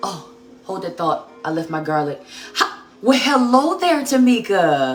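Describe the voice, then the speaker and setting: With music in the background and audible room echo, a woman speaks at a moderate pace and fairly high pitch, her pitch swinging very widely. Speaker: cooking livestream host. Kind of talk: live cooking demonstration. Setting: home kitchen livestream. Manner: loud; casual, chatty.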